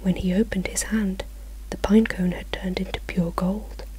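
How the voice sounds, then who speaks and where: Soft-spoken voice with a British accent, over noticeable background noise. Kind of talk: storybook reading. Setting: home, some traffic noise. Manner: soft-spoken, quiet.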